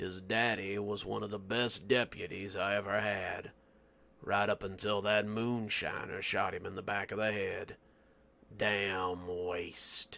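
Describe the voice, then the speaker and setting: A raspy, put-on character voice from a man, fairly low in pitch and at a fairly slow pace. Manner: gossiping.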